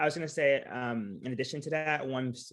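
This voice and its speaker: A man's fairly quick delivery with ordinary pitch variation. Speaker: recruitment panelist. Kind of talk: panel discussion. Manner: fast.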